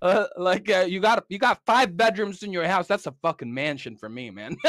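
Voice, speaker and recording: The speaker uses an American accent at a moderate pace, with very wide pitch swings and big swings in loudness. The recording is very clean and dry, close with no echo and a silent background. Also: man, high pitch for a man. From Philippines, then Southern California from 15. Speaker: podcast guest. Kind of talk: casual chat. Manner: halting, many repetitions and fillers.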